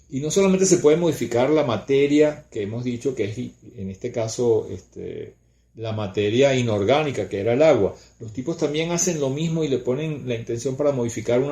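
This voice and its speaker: A man talks fairly quickly in a dark, mellow tone that is somewhat breathy. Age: 60s. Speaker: spiritual teacher. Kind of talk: casual chat.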